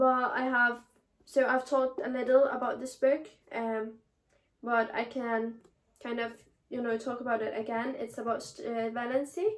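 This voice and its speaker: At a moderate pace with long, frequent pauses, a woman speaks in a high voice with a Danish accent. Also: fairly even intonation. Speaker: booktuber. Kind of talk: casual chat. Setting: bedroom. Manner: halting.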